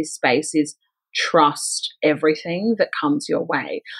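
A woman talks with an Australian accent. Her pitch sits fairly low. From Melbourne, Australia. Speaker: spiritual coach and author. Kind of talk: interview.

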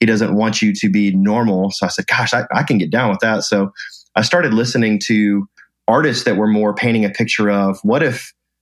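A man with a plain, everyday voice, a fairly low pitch, ordinary pitch variation, very even loudness and a fairly quick pace. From US South, Atlanta. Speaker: event company founder and speaker. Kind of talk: interview conversation.

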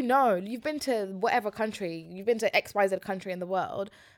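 A woman with a London accent, animated in tone, lively in intonation, at a fairly quick pace. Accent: London (multicultural London English). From West London. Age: 20s. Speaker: podcast guest. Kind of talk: casual chat. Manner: animated, laughing often.

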